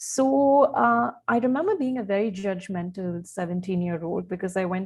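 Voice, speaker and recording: A woman's medium-pitched, somewhat breathy voice in an Indian accent, with lively intonation at a moderate pace. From India, Odisha. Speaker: communications specialist and journalist. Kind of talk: podcast interview. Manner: hesitant, many fillers.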